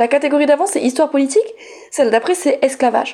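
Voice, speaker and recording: A high-pitched woman's voice at a moderate pace, with very wide pitch swings. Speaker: teacher and feminist radio columnist. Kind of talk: scripted column. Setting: studio. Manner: soft-spoken.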